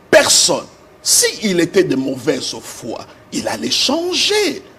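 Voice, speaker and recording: A man talks at a very slow pace while noticeable background noise is heard. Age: 60s. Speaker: pastor. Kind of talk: TV interview. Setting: TV studio. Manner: halting, many hesitations.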